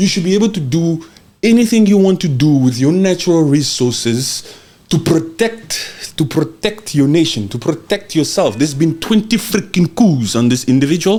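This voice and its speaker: A man speaks loudly at a moderate pace, with a high pitch, a dark, mellow tone and lively intonation. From Central Africa (Congo). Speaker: podcast host. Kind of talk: heated political commentary. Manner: animated.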